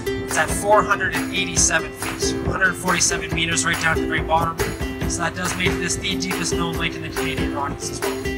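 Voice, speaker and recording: The man talks very fast. Loud music fills the background. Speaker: boat tour guide. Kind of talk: tour commentary. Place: boat. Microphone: pa.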